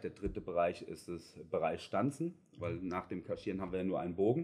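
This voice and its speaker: With lively intonation, a man talks in a dark, mellow tone at a fairly low pitch. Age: 40s. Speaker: production manager at a packaging plant. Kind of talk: interview conversation. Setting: on site at the company.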